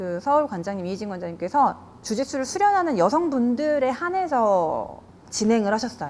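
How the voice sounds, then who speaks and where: Her pitch is high, and it swings very widely. A woman keeps a moderate pace. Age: 40s. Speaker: jiu-jitsu gym owner and instructor. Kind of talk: interview.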